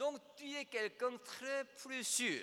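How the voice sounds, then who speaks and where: Raising and projecting his extremely high voice, a man speaks very slowly. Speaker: preacher. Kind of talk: sermon, preaching to a congregation, with direct appeals to the listener. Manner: emphatic and rhetorical, with rhetorical questions.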